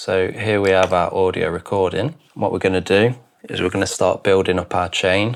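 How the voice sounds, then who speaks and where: Very deep, low pitch from a man, his intonation fairly even. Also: moderate pace. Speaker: video producer. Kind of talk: tutorial.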